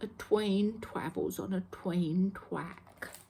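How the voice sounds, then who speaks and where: A woman mumbles in a put-on character voice at a medium pitch. Her pace is very slow. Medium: read story. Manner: quiet, mumbling, R pronounced as W.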